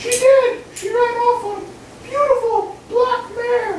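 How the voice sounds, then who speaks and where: In a squeaky, put-on character voice with extremely high pitch, a woman speaks at a fairly slow pace amid slight echo and clear background noise. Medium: stage play. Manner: exasperated.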